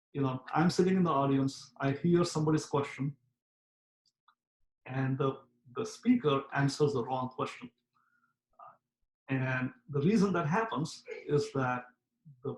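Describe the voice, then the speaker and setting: A man's somewhat breathy voice, fairly high in pitch, with ordinary pitch variation and long, frequent pauses. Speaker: professor. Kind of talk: lecture. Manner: fast; frequent filler words.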